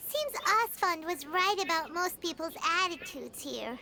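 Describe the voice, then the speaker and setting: A squeaky, put-on character voice at an extremely high pitch comes through over clear background noise. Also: moderate pace. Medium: video game. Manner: casual, expressive.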